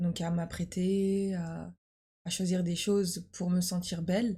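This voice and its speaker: A woman speaks in a fairly low, dark and mellow voice that is somewhat breathy, with monotone, flat intonation. The recording is very clean, with a silent background. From France. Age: 20s. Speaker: university student. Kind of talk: casual chat. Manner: halting.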